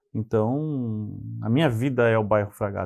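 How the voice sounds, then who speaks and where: A man's medium-pitched voice comes through against a quiet background. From southern Brazil, Pelotas (Rio Grande do Sul). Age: 40s. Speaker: city councillor. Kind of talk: TV interview.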